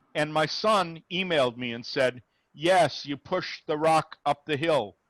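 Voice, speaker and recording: A man at a fairly high pitch and a fairly slow pace, with ordinary pitch variation and a plain, everyday voice, in a dry, close sound with no echo against a quiet background. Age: 60s. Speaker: rabbi, interfaith dialogue speaker. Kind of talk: Q&A after a talk. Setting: video call.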